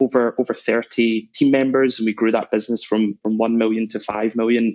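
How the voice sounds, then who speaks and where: A man in a Scottish accent, medium in pitch, with monotone, flat intonation. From Scotland, Glasgow. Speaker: sales executive. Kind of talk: interview.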